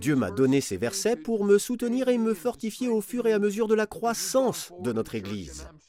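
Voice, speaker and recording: A man's dark, mellow tone at a very slow pace with very wide pitch swings, on a very clean recording with a silent background. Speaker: preacher. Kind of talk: sermon, earnest Bible teaching. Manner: earnest, warm, conversational, emphatic.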